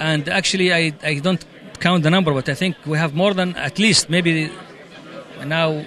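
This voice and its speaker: Over noticeable background noise, a man with an Arabic accent speaks at a fairly high pitch and a moderate pace with ordinary pitch variation. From Saudi Arabia. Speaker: amateur radio operator. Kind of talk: interview at convention.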